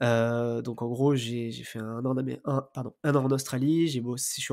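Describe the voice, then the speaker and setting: A man speaks with a dark, mellow tone and flat, monotone intonation. The recording is very clean, with a silent background. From southern France, near Marseille. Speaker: podcast host, real estate investor. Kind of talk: interview. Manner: hesitant, many fillers.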